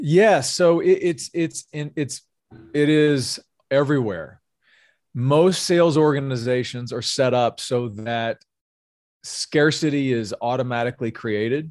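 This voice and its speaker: Recorded with a dry, close sound and no echo, a man speaks fairly slowly in a fairly high voice with ordinary pitch variation. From US South, North Louisiana. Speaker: sales executive and pastor. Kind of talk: interview conversation.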